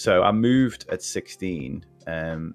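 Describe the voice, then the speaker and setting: A man with a Liverpool accent over music in the background. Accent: Scouse (Liverpool). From Liverpool, England. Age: 40s. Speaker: podcast guest. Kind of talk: casual chat. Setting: live stream podcast. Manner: halting, many restarts.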